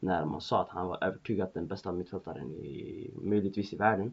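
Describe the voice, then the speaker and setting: The voice has vocal fry, a moderate pace and ordinary pitch variation. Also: man. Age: 20s. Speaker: football podcast host. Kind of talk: solo football commentary podcast. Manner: hesitant, many fillers.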